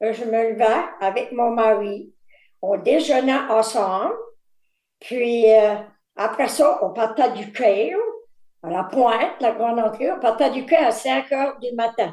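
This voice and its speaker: Speaking at a very slow pace with long, frequent pauses, a woman uses a fairly high pitch, a dark, mellow tone and lively intonation. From Quebec, Îles-de-la-Madeleine. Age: 70s. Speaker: fisherman's wife and retired factory worker. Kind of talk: life story interview. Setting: video call.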